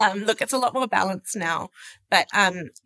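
With an Australian accent, a woman speaks at a fairly high pitch in a bright, sharp tone. Her intonation is lively, and the sound is dry and close with no echo. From Sydney, Australia. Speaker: social media lead at an investment firm. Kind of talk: casual interview chat.

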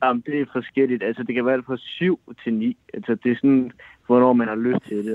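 This is an ordinary speaking voice. The intonation is fairly even. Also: man. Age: 20s. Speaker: caller. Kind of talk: casual chat.

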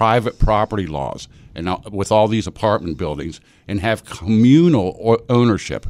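With an East Coast American accent, a man speaks at a moderate pace using lively intonation. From US East Coast. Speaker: local party official. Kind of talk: radio interview. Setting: radio studio.

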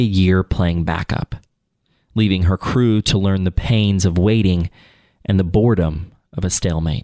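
At a moderate pace, a man talks in a very deep, low pitch, the sound dry and close with no echo. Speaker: podcast host. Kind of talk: history documentary narration, then casual interview. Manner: solemn, measured, formal storytelling.

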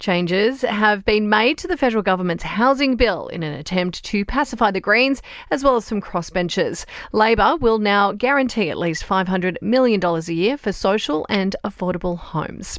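A woman with a plain, everyday voice, medium in pitch, lively intonation, moderate pace and hardly any pauses. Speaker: news podcast presenter. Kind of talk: formal newsreading, scripted bulletin. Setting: studio. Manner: brisk, even and authoritative; measured and businesslike.

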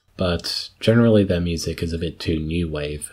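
A man speaks with a very deep, low pitch. His voice is somewhat breathy. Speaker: community radio host. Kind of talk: radio dj patter. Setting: studio. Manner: chatty, conversational.

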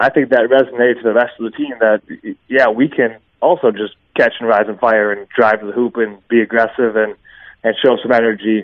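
In a plain, everyday voice, a man talks at a fairly quick pace with fairly even intonation. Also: medium pitch for a man. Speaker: former college basketball player. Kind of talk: radio interview. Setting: phone call.

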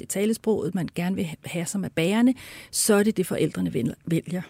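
Recorded very cleanly against a silent background, with a dry, close sound and no echo, a woman speaks at a moderate pace in a medium-pitched, somewhat breathy voice with a dark, mellow tone. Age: 60s. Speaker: hearing researcher and speech therapist. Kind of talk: interview.

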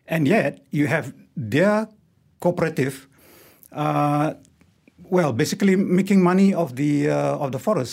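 A man with a Malaysian accent, at a moderate pace and with ordinary pitch variation. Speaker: wildlife photographer and ex-lecturer. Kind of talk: radio interview. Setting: studio.

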